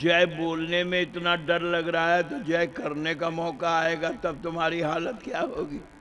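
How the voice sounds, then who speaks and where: There is audible room echo as a man speaks in a high voice with fairly even intonation. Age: 80s+. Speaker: religious storyteller. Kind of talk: sermon. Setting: stage with audience.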